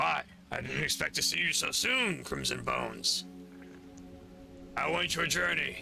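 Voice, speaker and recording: Using a put-on character voice, a raspy man talks at a moderate pace with long, frequent pauses over clear background noise. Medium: actual play. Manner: formal, courtly phrasing.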